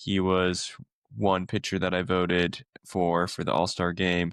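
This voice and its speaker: The voice has an American accent and monotone, flat intonation at a moderate pace. The sound is dry and close with no echo, over a quiet background. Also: man. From US Pacific Northwest. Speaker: podcast co-host. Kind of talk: casual chat.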